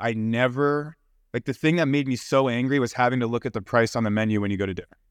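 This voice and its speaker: A man with an American accent speaks at a medium pitch in a normal speaking voice. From US Mid-Atlantic, near Washington DC. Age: 30s. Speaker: entrepreneur and investor. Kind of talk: casual interview chat. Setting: video call.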